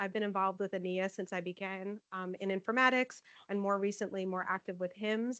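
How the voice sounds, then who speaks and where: Loud and at a fairly quick pace, a woman speaks at medium pitch with a dry, close sound and no echo. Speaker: nursing informatics manager presenting. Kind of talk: conference presentation.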